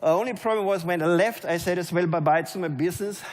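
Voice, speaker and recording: Speaking at a very fast pace, a man with a German accent uses ordinary pitch variation. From Germany. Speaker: network marketing leader. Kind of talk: motivational speech. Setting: stage with audience.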